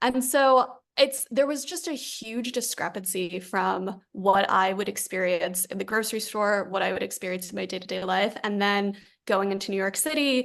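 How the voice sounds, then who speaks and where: A woman with a New Jersey accent, medium pitch, ordinary pitch variation and a moderate pace. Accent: American, New Jersey. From US Northeast, Fort Lee, New Jersey. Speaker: company founder. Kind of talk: podcast interview.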